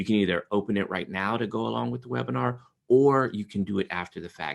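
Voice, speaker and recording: Against a quiet background, a man speaks at a fairly low pitch. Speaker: trauma therapist and trainer. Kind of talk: webinar presentation. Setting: video call webinar. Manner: fast.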